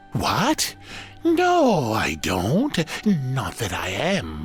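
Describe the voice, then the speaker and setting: Putting on a character voice, a man speaks very slowly while clear music plays in the background. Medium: machinima. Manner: blustering, self-important.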